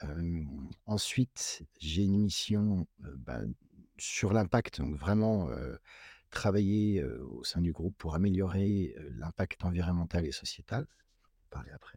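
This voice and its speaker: At a very slow pace, a man with a very deep, low pitch speaks with lively intonation and big swings in loudness, in a very clean recording with a silent background and a dry, close sound with no echo. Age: 40s. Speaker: company sustainability executive and engineer. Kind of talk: interview.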